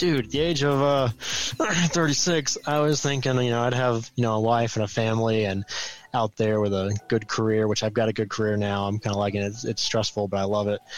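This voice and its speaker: A man with an ordinary speaking voice talks at a fairly quick pace, his medium pitch showing ordinary variation and his loudness very even. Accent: American. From US South, Georgia near Atlanta. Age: 30s. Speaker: comic book expert. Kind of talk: casual chat.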